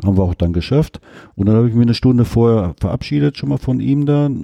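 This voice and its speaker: A man at a very fast pace, with lively intonation, a dark, mellow tone and a dry, close sound with no echo. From Ruhr area, Germany. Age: 50s. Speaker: retired coal miner. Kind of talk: casual interview.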